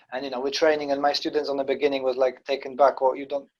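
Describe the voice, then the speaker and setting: A man at medium pitch with a non-native accent. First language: not English. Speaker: karate instructor and podcast host. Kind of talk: casual chat.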